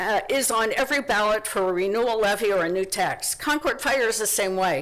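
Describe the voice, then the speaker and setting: Noticeable background noise beneath a fairly high female voice. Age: 60s. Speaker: resident speaking at public meeting, retired nurse. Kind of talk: public comment at county meeting. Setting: county commissioners meeting. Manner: halting, with fillers.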